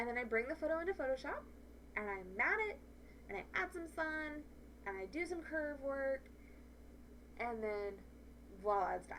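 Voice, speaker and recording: Over noticeable background noise, a woman with a high pitch speaks in an animated tone with very wide pitch swings and long, frequent pauses. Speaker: photography educator. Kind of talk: tutorial. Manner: fast.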